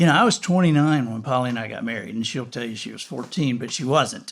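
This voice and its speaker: In a very clean recording with a silent background, a man with a Southern US accent talks with lively intonation. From US South. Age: 60s. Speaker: podcast host. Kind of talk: casual interview chat. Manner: halting, many restarts.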